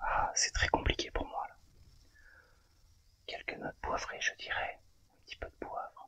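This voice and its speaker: Whispering in a relaxed tone, a man speaks at a fairly slow pace with big swings in loudness and long, frequent pauses. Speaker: cigar tasting host and ASMR channel owner. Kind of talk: ASMR cigar tasting, casual talk to camera. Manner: soft, relaxed, slow. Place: home room.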